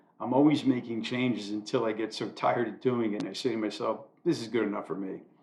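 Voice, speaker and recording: Very fast pace with fairly even intonation. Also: man, medium pitch for a man. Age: 60s. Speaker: amateur YouTuber doing commentary monologues. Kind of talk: scripted monologue read from own writing.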